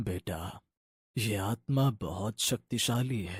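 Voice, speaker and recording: A cartoonish character voice delivers its lines in a solemn tone. The pace is fairly slow. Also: man, dry, close sound with no echo. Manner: grave, solemn.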